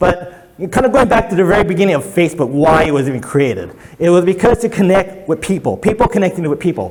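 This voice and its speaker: Speaking at a very fast pace and a high pitch, a man keeps his loudness very even against noticeable background noise. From Hawaii. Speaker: digital marketing consultant. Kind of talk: presentation to a workshop audience.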